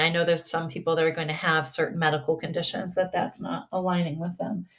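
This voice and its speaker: A woman with an ordinary speaking voice talks at a fairly low pitch with fairly even intonation on a very clean recording with a silent background. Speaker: spiritual podcast host and mental health provider. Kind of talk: casual solo podcast talk.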